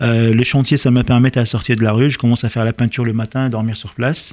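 With an Arabic accent, a man talks at a fairly quick pace in a medium-pitched, monotone, flat delivery. The sound is dry and close, with no echo. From Lebanon (Lebanese diaspora, born in Liberia). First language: Arabic (speaking French). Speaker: chef. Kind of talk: radio interview. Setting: radio studio.

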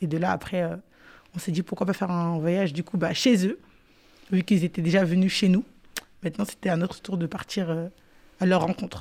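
The dark, mellow tone moves at a fairly quick pace, broken by long, frequent pauses. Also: woman, fairly low pitch for a woman, fairly even intonation. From Paris suburbs, France. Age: 20s. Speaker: youth project participant. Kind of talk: radio interview.

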